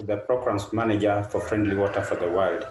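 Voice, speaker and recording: A man with a Kenyan accent at a medium pitch. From Kenya, Kakamega. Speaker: nonprofit programs manager. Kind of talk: presentation.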